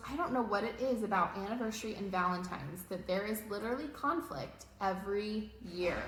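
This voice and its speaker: With noticeable background noise and audible room echo, a woman talks at a fairly quick pace in a fairly high pitch with ordinary pitch variation. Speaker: marriage coach. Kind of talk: casual chat. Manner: loud.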